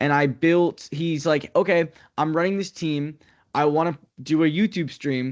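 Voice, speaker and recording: Against a quiet background, a man with a fairly high pitch speaks with an American accent. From US Northeast. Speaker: sports play-by-play broadcaster. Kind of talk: interview. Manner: fast.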